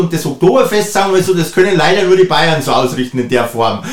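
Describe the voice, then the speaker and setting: A man with a Bavarian accent, high-pitched and lively, speaking fairly quickly over noticeable background noise. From Bavaria, Upper Bavaria (Traunstein district). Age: 50s. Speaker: mayoral candidate, politician. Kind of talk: interview. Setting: studio.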